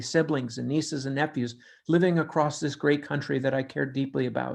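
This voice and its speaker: Against a quiet background, a man with an unremarkable speaking voice talks at a fairly high pitch with fairly even intonation. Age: 60s. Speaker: public service announcer. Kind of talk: scripted public service message. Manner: formal.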